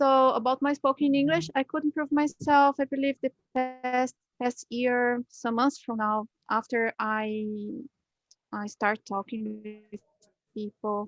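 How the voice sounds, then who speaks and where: Music plays in the background as a woman speaks at a high pitch and fairly slow pace. The sound is dry and close with no echo, and her pitch variation is ordinary. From Brazil. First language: Portuguese. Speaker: English learner. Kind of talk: interview. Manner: halting.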